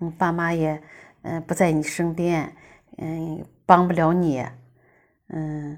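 A woman speaks very slowly in a very deep, low, monotone voice with flat intonation, on a very clean recording with a silent background. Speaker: guest's mother. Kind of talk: prepared message. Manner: halting.

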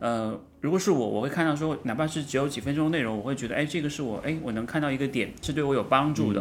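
With audible room echo around him, a man talks at a very fast pace in a fairly high voice with ordinary pitch variation. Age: 40s. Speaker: running podcast co-host. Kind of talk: casual interview chat.

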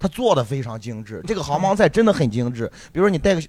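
The delivery is very fast, with very wide pitch swings and vocal fry. The recording is very clean, with a silent background. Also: man. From Shandong, China. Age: 30s. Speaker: stand-up comedian. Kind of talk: casual chat.

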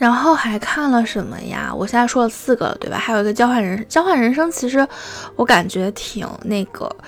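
Amid noticeable background noise, a woman with a high pitch talks at a moderate pace with ordinary pitch variation. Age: young. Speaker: solo podcaster. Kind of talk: casual monologue. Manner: halting, many fillers.

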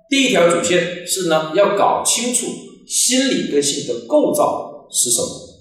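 Audible room echo fills the recording. The speaker is a man. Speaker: psychology educator. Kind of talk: lecture. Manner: frequent filler particles.

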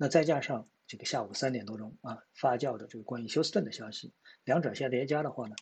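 At a fairly quick pace, a man talks in a somewhat breathy voice at medium pitch with ordinary pitch variation. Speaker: stock market commentator. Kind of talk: market analysis monologue. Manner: hesitant with many fillers.

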